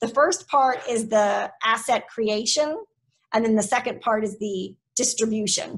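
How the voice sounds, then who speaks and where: A woman speaks in a fairly high pitch, somewhat breathy. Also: ordinary pitch variation. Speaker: tourism marketing executive. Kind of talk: presentation. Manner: fast.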